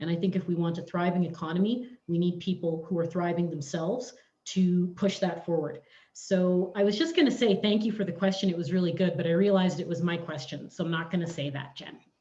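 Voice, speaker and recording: A woman speaks at a fairly quick pace and fairly low pitch, her tone dark, mellow and somewhat breathy. Her intonation is fairly even, and audible room echo surrounds her. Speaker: municipal election candidate. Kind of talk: candidate forum answer. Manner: articulate, fluent.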